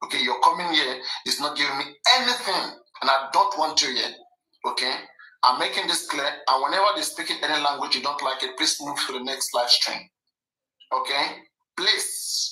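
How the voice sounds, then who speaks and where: In a Nigerian accent, the speaker moves at a fairly quick pace but leaves long, frequent pauses. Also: man. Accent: Nigerian (Yoruba) English. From Nigeria (Yoruba). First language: Yoruba. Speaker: live stream host. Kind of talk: live stream commentary. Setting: live stream. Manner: animated.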